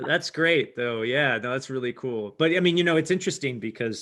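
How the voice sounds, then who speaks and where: A man uses a normal speaking voice at a moderate pace, with lively intonation. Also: quiet background. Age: 40s. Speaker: tech entrepreneur. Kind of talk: interview.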